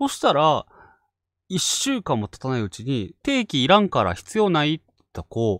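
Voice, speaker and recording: Fairly high male voice with very wide pitch swings, dry and close with no echo. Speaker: ghost story channel host. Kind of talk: casual chat. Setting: online live stream.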